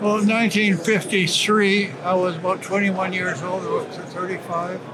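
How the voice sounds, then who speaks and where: Over noticeable background noise and audible room echo, a man talks at a moderate pace in a high pitch with monotone, flat intonation. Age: 90s. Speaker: prospector. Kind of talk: interview. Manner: halting.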